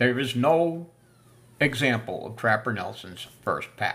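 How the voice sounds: Speaking at a fairly slow pace, a man uses a medium pitch and a fairly bright tone. His pitch swings widely.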